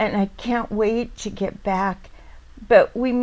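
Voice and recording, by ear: Words are read aloud here in a natural voice.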